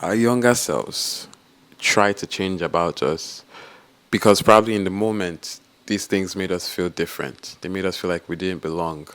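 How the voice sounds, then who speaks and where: At a moderate pace, a man with an American accent talks at a fairly low pitch with ordinary pitch variation. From Nigeria, Port Harcourt. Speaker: vlogger. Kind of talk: personal vlog.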